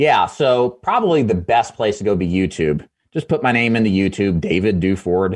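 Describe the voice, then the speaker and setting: A man speaks in an unremarkable speaking voice, fairly low-pitched, with lively intonation, a moderate pace and very even loudness against a quiet background. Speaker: insurance sales trainer. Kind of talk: radio interview.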